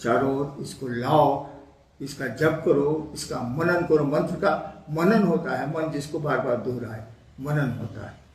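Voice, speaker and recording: With audible room echo and noticeable background noise, a man speaks in a fairly high voice with ordinary pitch variation. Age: 70s. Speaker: spiritual teacher. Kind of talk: spiritual Q&A discourse. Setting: Facebook live stream.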